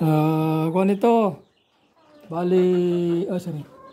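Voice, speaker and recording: At a very slow pace, a man speaks at a high pitch over light background noise. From Philippines. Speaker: backyard poultry farmer and vlogger. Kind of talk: casual vlog walkthrough; casual vlog chat. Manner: halting, many fillers. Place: farm. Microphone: phone near.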